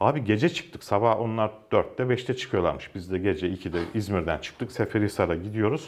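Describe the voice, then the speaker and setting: Fairly quick speech from a man. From Ankara, Turkey; Turkey. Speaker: journalist. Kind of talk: casual interview. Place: studio. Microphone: lapel.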